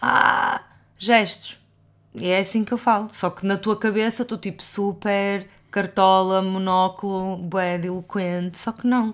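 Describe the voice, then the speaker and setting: With a European Portuguese accent, a woman speaks at a medium pitch and with fairly even intonation. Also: fairly slow pace. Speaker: podcast co-host. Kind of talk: casual chat.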